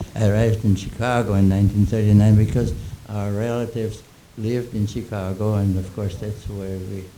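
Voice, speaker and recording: Amid noticeable background noise and audible room echo, a man talks at a fairly quick pace in a fairly low pitch with monotone, flat intonation. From Austria, Vienna. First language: German. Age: 80s+. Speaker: composer and music critic. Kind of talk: panel Q&A. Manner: halting.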